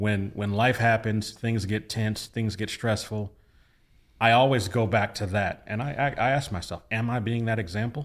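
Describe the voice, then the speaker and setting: A man's normal speaking voice at medium pitch and moderate pace, with fairly even intonation, in a very clean recording with a silent background. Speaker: pastor. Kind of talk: casual chat.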